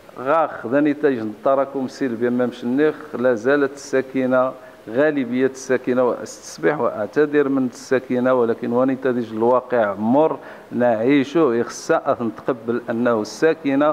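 In a plain, everyday voice of medium pitch, a man speaks at a fairly slow pace with hardly any pauses, very even loudness and fairly even intonation. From Morocco. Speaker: local politician. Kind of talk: interview. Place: home room. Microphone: handheld.

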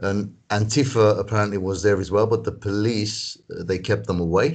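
In a normal speaking voice, a man talks fairly slowly at a fairly low pitch with fairly even intonation, against a quiet background. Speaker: protest organizer; interview guest. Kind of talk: interview. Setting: video call. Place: home room. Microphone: video call.

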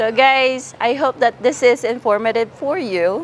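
Light background noise runs behind a woman with a Visayan Filipino accent who speaks at a fairly slow pace. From Philippines. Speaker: vlogger. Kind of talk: vlog interview. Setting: outdoors. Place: street. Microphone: lapel.

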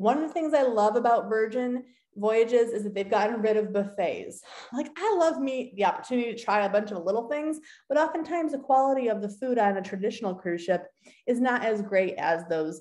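Against a quiet background, a woman talks at a fairly quick pace with lively intonation and a dark, mellow tone. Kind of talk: screen-share walkthrough, partly reading course text. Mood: upbeat, enthusiastic. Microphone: webcam.

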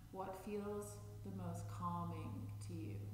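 A man talks at a fairly slow pace. There is audible room echo and noticeable background noise. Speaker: chair yoga instructor. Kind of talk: guided meditation; guided chair yoga class. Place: empty room.

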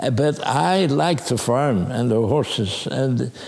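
A man with a Dutch accent, lively intonation and a very slow pace, with faint music in the background. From Netherlands. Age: 80s+. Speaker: war survivor recounting childhood memories. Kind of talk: documentary interview answer. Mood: reminiscing, warm, animated. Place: home room.

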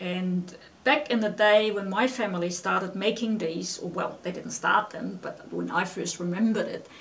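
Ordinary pitch variation marks the fairly slow pace of this speech. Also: woman. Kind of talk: casual explanation to camera. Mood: warm, reminiscing. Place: home room. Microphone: camera far.

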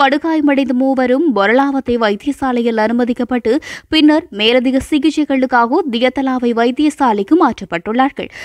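Recorded with a dry, close sound and no echo, a woman speaks in a high pitch with ordinary pitch variation. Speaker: news reader. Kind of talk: news bulletin reading.

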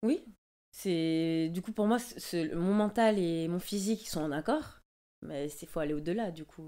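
A woman speaks at a very slow pace with a dark, mellow tone and fairly low pitch, her pitch varying in an ordinary way. Her loudness swings widely, with long, frequent pauses against a quiet background. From Martinique. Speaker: dancer; interview guest. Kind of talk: casual interview. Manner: halting, many hesitations. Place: home room. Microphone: studio mic.

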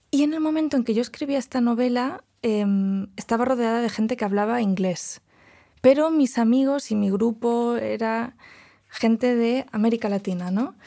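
Her tone dark and mellow, a woman speaks at a moderate pace and fairly high pitch with ordinary variation, on a very clean recording with a silent background. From Catalonia, Spain. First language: Catalan and Galician (speaking Spanish). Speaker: novelist and doctoral student. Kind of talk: casual conversation.

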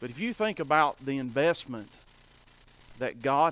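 The recording is dry, without any echo. The voice belongs to a man. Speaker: preacher. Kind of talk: sermon. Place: church.

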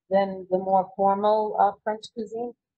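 A woman speaks at a fairly slow pace. The background is quiet. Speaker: event host, moderator. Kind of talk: live-streamed interview and moderation. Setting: on location in a restaurant, live stream. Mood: relaxed, friendly. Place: cafe.

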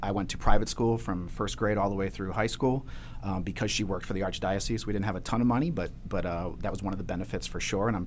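Over light background noise, a man with an American accent talks at a very fast pace and fairly low pitch, with vocal fry and ordinary pitch variation. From Maryland, US. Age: 40s. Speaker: marketing executive. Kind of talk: interview. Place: studio. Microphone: studio mic.

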